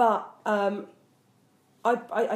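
The voice belongs to a woman speaking at a medium pitch. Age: 30s. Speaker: comedian podcast co-host. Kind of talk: casual chat. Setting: home kitchen.

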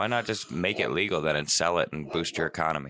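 A man's very deep, low voice carries vocal fry and a bright, sharp tone. The sound is dry and close with no echo. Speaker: podcast co-host. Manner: joking, casual, profane.

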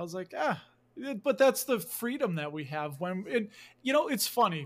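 A man's high-pitched voice with a Chicago accent, very wide pitch swings and a moderate pace, on a very clean recording with a silent background. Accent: Chicago accent, noticeable. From Chicago, US Midwest. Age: 40s. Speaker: dividend investor and YouTuber. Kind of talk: casual interview chat. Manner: animated.

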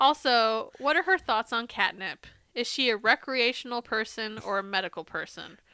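A woman with an American accent, bright and sharp in tone, fairly high-pitched and at a moderate pace, in a very clean recording with a silent background. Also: dry, close sound with no echo. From Arizona. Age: 30s. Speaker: podcast co-host. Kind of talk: casual chat. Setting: home bedroom.

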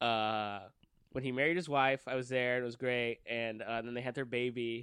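Speaking with a Southern California accent, a man talks at a fairly slow pace and a medium pitch. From Downey, California (Los Angeles suburb). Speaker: improv comedian. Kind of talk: casual chat.

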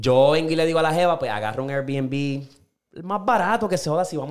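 Intonation is lively as a man with a fairly high pitch speaks at a very fast pace. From Puerto Rico. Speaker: podcast host. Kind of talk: casual chat. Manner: animated.

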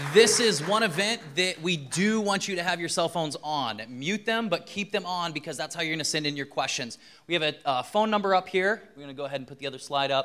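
With a bright, sharp tone, a man talks at a fairly quick pace and high pitch with lively intonation. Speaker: pastor. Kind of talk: event announcements. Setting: stage with audience.

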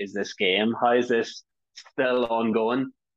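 The voice belongs to a man. He speaks with an Irish accent. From Ireland. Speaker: stand-up comedian. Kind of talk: casual chat. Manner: fast talker.

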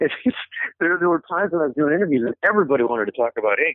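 The speaker has an American accent and a very fast pace. The intonation is lively. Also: man. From Michigan, Detroit area. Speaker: journalist and author. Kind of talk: interview.

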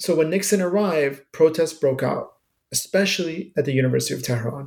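With ordinary pitch variation, a plain, everyday voice talks at a fairly quick pace. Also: man. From Iran, raised in US from early childhood. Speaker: professor. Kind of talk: interview.

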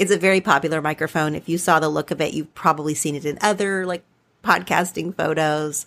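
Talking at a very fast pace, a woman with an Oklahoma accent and a very deep, low pitch keeps a fairly even intonation in a very clean recording with a silent background. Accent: occasional Oklahoma twang, Southern US. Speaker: podcast host. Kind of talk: solo monologue, informal talk. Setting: studio, home recording with USB mic.

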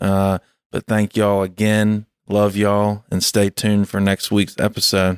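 A man with a Southern US accent speaks at a moderate pace in a fairly low voice, his intonation monotone and flat, his loudness very even, with a dry, close sound and no echo on a very clean recording over a silent background. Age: 30s. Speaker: podcast host. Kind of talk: casual chat.

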